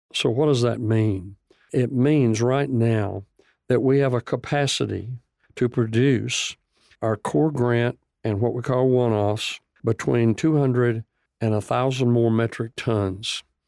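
Speaking at a fairly slow pace with a Texan accent, a man uses a dark, mellow tone, very even loudness and fairly even intonation over a quiet background. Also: medium pitch for a man, dry, close sound with no echo. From Texas, Bonham (northeast of Dallas). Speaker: nonprofit food company CEO. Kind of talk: radio interview.

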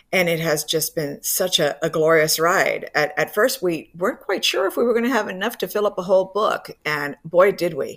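A woman speaks in a normal speaking voice with an American accent. Her pitch is fairly low, with ordinary variation, and her pace is moderate. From Miami, Cuban American family. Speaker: professor. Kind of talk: radio interview.

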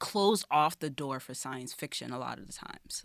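A woman with an American accent speaks with very wide pitch swings. The recording is very clean, with a silent background and a dry, close sound with no echo. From Brooklyn, New York City. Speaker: poet and filmmaker. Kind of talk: poetry reading; casual interview.

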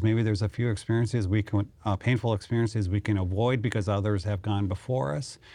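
At a fairly quick pace, a man with an Upper Midwest accent speaks in a dark, mellow tone at a fairly low pitch with fairly even intonation. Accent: Upper Midwest American. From North Dakota (Mandan). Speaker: city administrator. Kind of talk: interview.

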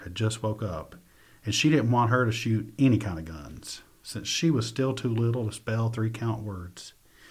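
A man talks at a moderate pace and medium pitch. His voice is somewhat breathy. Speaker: poet and teacher. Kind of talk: poem performed, reading own verse aloud. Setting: studio. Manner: vivid, lyrical, measured storytelling cadence.

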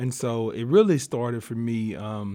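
Medium-pitched male voice with a Southern US accent, on a very clean recording with a silent background. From US South, southeast Arkansas. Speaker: diversity consultant and columnist. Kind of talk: interview conversation. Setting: studio.

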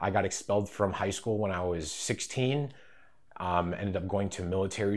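A man's very deep, low voice with an American accent, at a moderate pace. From northern Wisconsin, US Midwest. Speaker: barber and cosmetology student, ex-convict. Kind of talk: interview testimony. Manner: casual, halting with many fillers.

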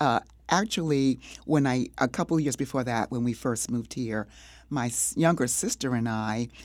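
A woman's very deep, low voice in an American accent, with ordinary pitch variation and a moderate pace, on a very clean recording with a silent background. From North Carolina (Kinston). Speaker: playwright and filmmaker. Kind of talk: interview.

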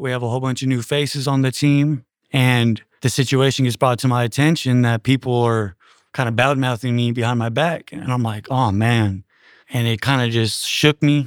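At a moderate pace, a normal speaking voice keeps a fairly even intonation in a very clean recording with a silent background. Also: man. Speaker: prison baseball player.

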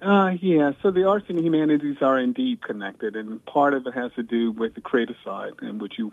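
This man has a plain, everyday voice. The rise and fall of his pitch is ordinary. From US South, Virginia. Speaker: historian and university scholar. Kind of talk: radio interview.

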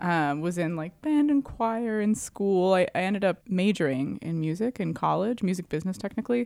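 A woman talks in an unremarkable speaking voice, fairly low in pitch, at a moderate pace. Her intonation is lively, and the recording is very clean with a silent background. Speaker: keyboard player in band. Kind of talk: interview. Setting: studio.

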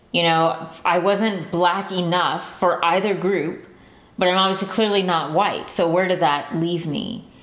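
At a fairly slow pace, a woman with an American accent talks at a medium pitch with fairly even intonation, and noticeable background noise can be heard. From San Antonio, Texas. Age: 20s. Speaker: listener storyteller. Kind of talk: personal storytelling.

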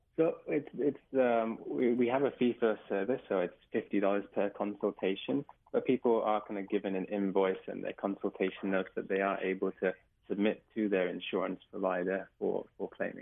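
With an English accent, a man talks at a moderate pace in a fairly low pitch, using ordinary pitch variation. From England. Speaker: doctor. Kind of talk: radio interview.

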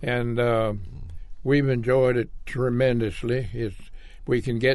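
A man is speaking. He has a Southern US accent. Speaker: war veteran. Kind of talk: interview. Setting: studio.

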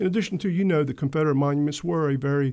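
On a very clean recording with a silent background, a man with a dark, mellow tone talks very fast, with ordinary pitch variation. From US South, Wilmington, North Carolina. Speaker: mayor and election candidate. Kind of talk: radio interview. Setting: radio studio.

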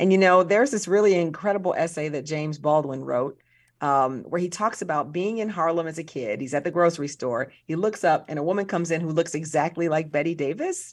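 An unremarkable speaking voice from a woman with an American accent, fairly low in pitch with ordinary pitch variation, fairly quick and with hardly any pauses, against a quiet background. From US Midwest, South Side of Chicago. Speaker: museum director and film professor. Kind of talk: interview.

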